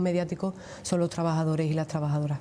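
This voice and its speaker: A woman with an Andalusian accent speaks at a fairly quick pace, her fairly low voice dark and mellow in tone. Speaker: trade union leader. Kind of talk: TV interview.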